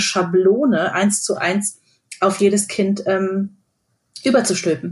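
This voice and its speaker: A woman speaks at a very slow pace with fairly even intonation. Her voice is somewhat breathy and medium in pitch. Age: 40s. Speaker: radio host. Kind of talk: casual chat.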